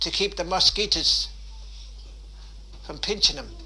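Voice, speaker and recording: Over noticeable background noise, a man speaks with a Waterford accent. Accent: Irish, Waterford. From Dunmore East, County Waterford, Ireland. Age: 80s+. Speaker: former fisherman and traveller. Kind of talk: interview answer.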